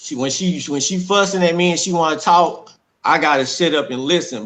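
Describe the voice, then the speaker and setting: A man in a Southern US accent speaks at a moderate pace with a bright, sharp tone and ordinary pitch variation, over a quiet background. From Texas, Dallas. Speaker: domestic violence survivor. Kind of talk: testimony.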